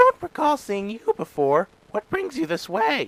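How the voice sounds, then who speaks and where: Using a put-on character voice, a man speaks at a moderate pace with a high pitch and very wide pitch swings, in a dry, close sound with no echo. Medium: read story. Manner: gruff, clipped.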